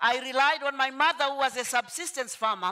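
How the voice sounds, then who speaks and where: A woman with a high pitch raises and projects her voice. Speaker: motivational speaker. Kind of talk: motivational talk.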